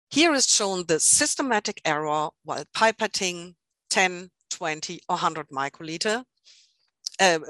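A woman with a German accent speaks at a moderate pace in a fairly low-pitched, bright, sharp tone, the sound dry and close with no echo over a quiet background. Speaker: product marketing manager and scientist. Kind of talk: webinar presentation. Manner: halting, many fillers.

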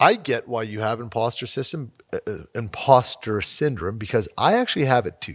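Recorded very cleanly against a silent background, a man with a Canadian accent speaks at a medium pitch and moderate pace with ordinary pitch variation. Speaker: podcast host. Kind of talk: interview. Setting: studio. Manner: animated, laughs often.

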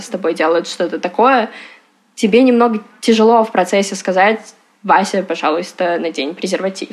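This woman has an unremarkable speaking voice. She keeps a moderate pace and ordinary pitch variation. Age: 20s. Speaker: abuse survivor, education startup manager. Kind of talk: personal testimony interview.

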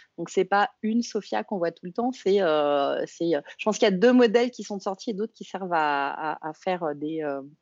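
At a moderate pace and with hardly any pauses, a woman speaks in a medium pitch, her intonation lively and her loudness swinging widely. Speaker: podcast co-host. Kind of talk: casual chat.

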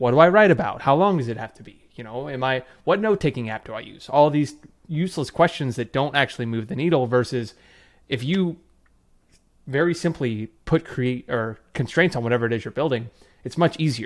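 A man with an unremarkable speaking voice at medium pitch talks at a fairly quick pace, his intonation lively and his loudness swinging widely, on a very clean recording with a silent background. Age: 20s. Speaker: online writing teacher, former finance worker. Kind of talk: debate.

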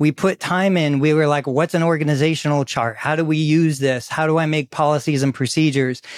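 With an American accent, a man uses an ordinary speaking voice, fairly high in pitch, talking at a fairly quick pace with hardly any pauses and very even loudness, in a dry, close sound with no echo. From US, Florida (Sarasota). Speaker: physical therapist and clinic founder. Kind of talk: casual interview.

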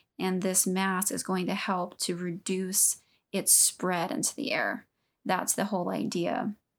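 With an American accent, a woman speaks at a fairly slow pace and medium pitch, showing vocal fry, ordinary pitch variation and very even loudness on a very clean recording with a silent background. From Southeast Texas. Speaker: podcast co-host. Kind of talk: casual chat.

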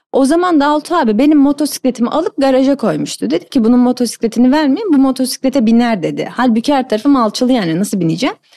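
A woman speaks at a very fast pace with hardly any pauses, in a high pitch with lively intonation and very even loudness. Her tone is dark and mellow, and the sound is dry and close with no echo. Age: 30s. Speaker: motorcycle racer. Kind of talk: interview.

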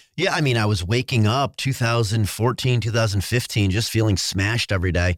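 With an American accent, a man talks at a moderate pace and medium pitch in an ordinary speaking voice, his pitch varying in an ordinary way. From upstate New York. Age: 40s. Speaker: endurance athlete and brand entrepreneur. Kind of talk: casual interview.

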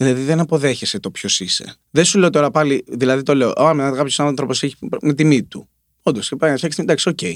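On a very clean recording with a silent background, a man with an ordinary speaking voice talks at a fairly quick pace, fairly high in pitch with ordinary variation. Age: 30s. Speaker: singer-songwriter. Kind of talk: casual chat.

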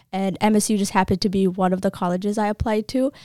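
On a very clean recording with a silent background, a woman with an American accent speaks in a monotone, flat intonation with a dry, close sound and no echo. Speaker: nursing student. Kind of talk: casual interview.

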